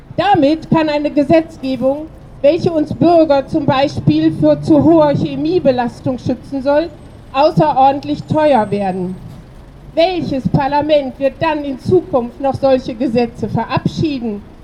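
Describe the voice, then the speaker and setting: The woman's voice is high-pitched, with ordinary pitch variation and a fairly slow pace. Noticeable background noise can be heard. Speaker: protest speaker. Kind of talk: rally speech. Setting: outdoors at a protest.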